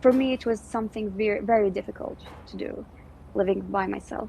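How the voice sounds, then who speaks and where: A woman's somewhat breathy, fairly high voice at a moderate pace, with ordinary pitch variation. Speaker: English language instructor. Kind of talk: casual chat. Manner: energetic.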